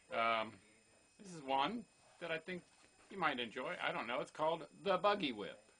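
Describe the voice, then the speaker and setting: A man with a fairly high, bright and sharp voice with vocal fry speaks at a moderate pace, his pitch swinging very widely and his loudness shifting a lot, with long, frequent pauses. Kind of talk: casual talk to camera. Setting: home, kitchen background noise.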